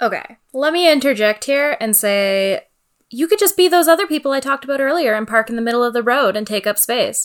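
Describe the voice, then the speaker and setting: Speaking at a fairly quick pace, a woman with a Canadian accent uses a high pitch, an animated tone and lively intonation. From Northern Ontario, Canada (Sault Ste. Marie). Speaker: podcast co-host. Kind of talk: casual chat.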